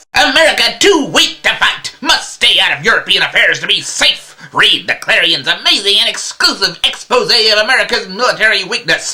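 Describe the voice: A man performs a put-on character voice at an extremely high pitch. He speaks at a moderate pace.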